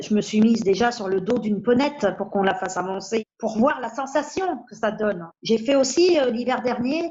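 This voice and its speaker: At a moderate pace, a woman speaks at a fairly high pitch with lively intonation. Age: 60s. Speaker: patient with a rare bone disease. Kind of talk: testimony. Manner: hesitant, with fillers.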